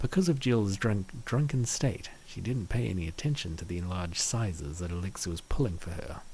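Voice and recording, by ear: A man talks with a low pitch. His pitch variation is ordinary. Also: moderate pace.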